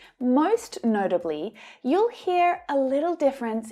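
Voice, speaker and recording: In an Australian accent, a woman speaks very slowly in a dark, mellow tone with very wide pitch swings, on a very clean recording with a silent background. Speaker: English teacher. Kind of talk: tutorial.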